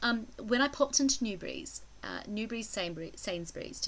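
This woman speaks at a moderate pace. She has a slight New Zealand accent. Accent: mild New Zealand. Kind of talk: casual vlog talk to camera.

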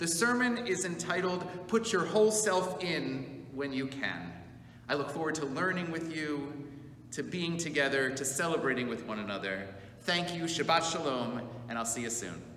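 With very wide pitch swings at a moderate pace, a man speaks over light background noise with audible room echo. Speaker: congregation rabbi. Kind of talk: announcement to congregation. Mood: warm, upbeat. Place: church. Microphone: camera far.

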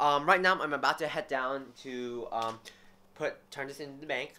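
Moderately paced, a man's bright, sharp tone carries ordinary pitch variation. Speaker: student vlogger. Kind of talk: casual vlog chat. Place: home room. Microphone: phone near.

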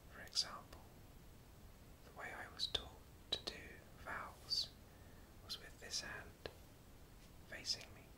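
The speaking goes at a fairly slow pace. Noticeable background noise is present. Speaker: sign language teacher. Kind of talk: soft-spoken instructional talk about sign language. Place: home room.

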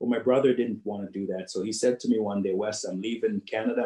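The background is quiet, though audible room echo can be heard. A man talks in a dark, mellow tone with ordinary pitch variation. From Jamaica. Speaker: business executive and keynote speaker. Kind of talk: keynote speech. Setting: video call. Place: home room. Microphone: video call.

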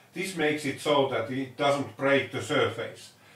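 A man at a fairly slow pace with audible room echo. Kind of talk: tutorial. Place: workshop.

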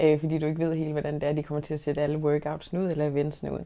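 A woman's voice comes through. Her tone is dark and mellow. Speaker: interviewee. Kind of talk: interview answer. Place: office.

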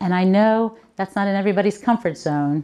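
Dark, mellow tone and lively intonation come through in an American accent at a moderate pace. The background is quiet. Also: woman. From Baltimore, Maryland. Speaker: author and book coach; book coach. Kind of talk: keynote speech. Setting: conference stage with audience. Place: hall. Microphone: handheld.

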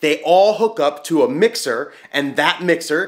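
Loud and fairly bright in tone, a man speaks at a fairly high pitch with lively intonation.

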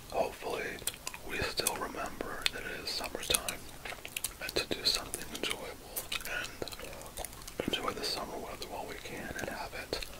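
Whispering at a moderate pace comes through noticeable background noise. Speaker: ASMR creator. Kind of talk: ASMR relaxation talk. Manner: whispered.

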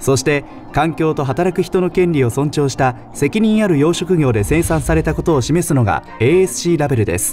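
With music in the background, the speaker uses lively intonation at a moderate pace, hardly pausing at all. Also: man, fairly high pitch for a man. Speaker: radio DJ narrator. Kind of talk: explainer video narration.

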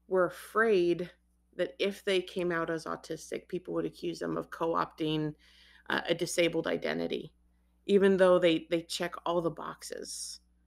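A fairly slow-paced woman's voice, very cleanly recorded against a silent background. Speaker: author and interviewer. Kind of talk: interview.

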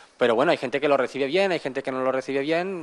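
Ordinary pitch variation from a man. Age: 20s. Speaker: entrepreneur. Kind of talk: interview. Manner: halting, many repetitions. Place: shop. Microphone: handheld.

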